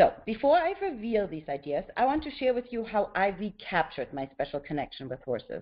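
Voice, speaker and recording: A woman with a German accent speaks at medium pitch with vocal fry and very wide pitch swings. Her pace is fairly quick, with hardly any pauses. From Germany. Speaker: author and horse mindfulness teacher. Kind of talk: webinar presentation. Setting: webinar.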